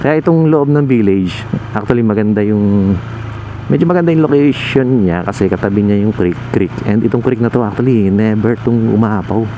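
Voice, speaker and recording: Noticeable background noise sits under a man's voice. He speaks at a moderate pace with lively intonation. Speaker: motovlogger. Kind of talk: casual vlog narration while riding. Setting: riding a motorcycle at night. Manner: relaxed, conversational.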